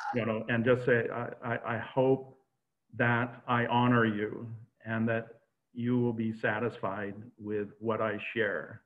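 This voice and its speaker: The voice moves at a very slow pace in a monotone, flat intonation. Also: man, medium pitch for a man. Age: 70s. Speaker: UFO witness's son. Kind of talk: interview. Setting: video call.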